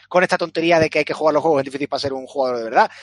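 This man talks at a very fast pace in a fairly high pitch, and the sound is dry and close with no echo. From Spain. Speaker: video game podcast panelist and streamer. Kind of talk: casual chat.

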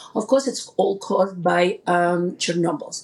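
A woman talks at a moderate pace and a medium pitch with ordinary pitch variation. Vocal fry runs through her voice. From Ukraine (Kyiv). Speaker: private school founder. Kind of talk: interview.

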